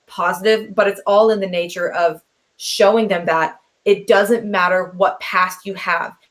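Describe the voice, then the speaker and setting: An energetic woman at a moderate pace, her pitch medium. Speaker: youth speaker and mentor. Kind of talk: interview. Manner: loud.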